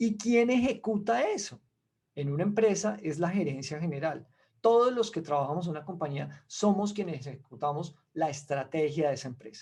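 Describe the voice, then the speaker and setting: A man with a Colombian accent speaks at a moderate pace against a quiet background. His pitch is high for a man and swings very widely. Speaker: investment expert, webinar speaker. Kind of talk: webinar presentation.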